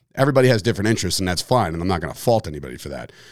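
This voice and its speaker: Lively intonation marks this man's speech in a New Jersey accent. The recording is very clean, with a silent background. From New Jersey (Fords, Woodbridge area). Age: 30s. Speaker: podcast host, former pro wrestler. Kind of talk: casual solo monologue.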